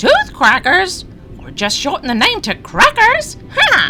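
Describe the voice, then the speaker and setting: In a put-on character voice, the speaker squeaks at an extremely high pitch over clear background noise. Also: fairly slow pace. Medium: audio drama. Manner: chatty, ends lines with huh.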